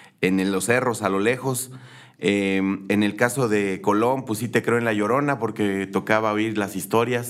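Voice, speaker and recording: A man's normal speaking voice, a normal speaking voice at a fairly slow pace with fairly even intonation. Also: fairly low pitch for a man. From Querétaro, Mexico. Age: 40s. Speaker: political candidate. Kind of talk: interview.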